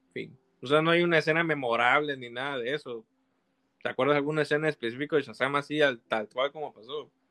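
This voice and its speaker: A man talks very fast in a fairly high pitch, his intonation fairly even. His loudness swings widely. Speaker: film fan co-host. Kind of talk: casual chat. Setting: live stream.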